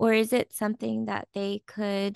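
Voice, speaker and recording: A woman speaks with an American accent at a fairly slow pace. The sound is dry and close with no echo, and the background is quiet. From California, US. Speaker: podcast host. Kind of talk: interview.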